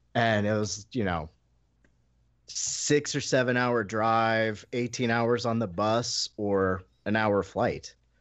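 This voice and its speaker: Speaking with an American accent, a man holds a medium pitch. His intonation stays fairly even, and his pace is very slow. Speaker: podcast guest. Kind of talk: casual chat. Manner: casual, profane, chipper.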